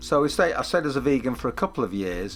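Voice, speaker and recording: The pitch of the voice varies in an ordinary way. Background music can be heard. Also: man. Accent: Mancunian. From northern England, Manchester. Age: 60s. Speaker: documentary interviewee. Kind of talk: interview testimony. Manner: halting, many fillers.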